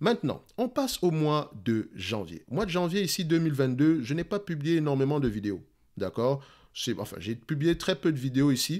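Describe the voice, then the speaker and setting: In a very clean recording with a silent background, a man's fairly high pitch swings very widely. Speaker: investing youtuber. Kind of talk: casual talk to camera. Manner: fast.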